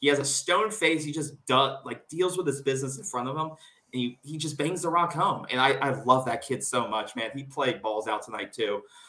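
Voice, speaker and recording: Talking fairly quickly with a fairly high pitch, a man has an unremarkable speaking voice and ordinary pitch variation. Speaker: sports podcast host. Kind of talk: casual sports talk, post-game reaction. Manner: casual, filler-heavy, conversational.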